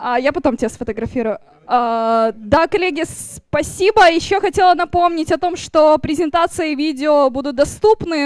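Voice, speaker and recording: A woman at a moderate pace with lively intonation, in a dry sound with no echo and a quiet background. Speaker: meetup moderator. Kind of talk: event hosting. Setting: stage with audience. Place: hall. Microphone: handheld.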